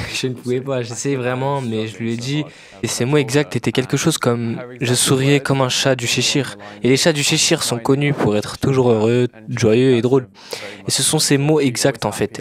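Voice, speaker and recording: Noticeable background noise runs behind a man speaking at a moderate pace. His pitch is medium and his intonation fairly even. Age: 20s. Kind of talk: interview answer. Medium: dub.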